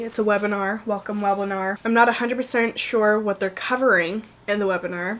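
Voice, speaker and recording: Here a woman speaks at medium pitch. Her intonation stays fairly even. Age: young. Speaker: lifestyle vlogger. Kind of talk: casual vlog. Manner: rambling, casual with fillers.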